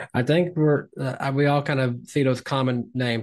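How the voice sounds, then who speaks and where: A man with a Tennessee accent, medium pitch and fairly even intonation, against a quiet background. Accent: Tennessee Southern. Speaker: podcast co-host.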